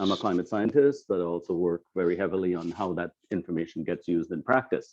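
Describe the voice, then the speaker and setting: Over a quiet background, a man with a Trinidadian accent and a dark, mellow tone talks at a fairly quick pace. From Trinidad and Tobago. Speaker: climate scientist. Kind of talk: lecture.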